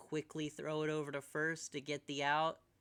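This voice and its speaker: This man has an American accent and a fairly high pitch. He speaks at a moderate pace. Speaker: streamer doing live baseball commentary. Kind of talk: live commentary. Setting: live stream.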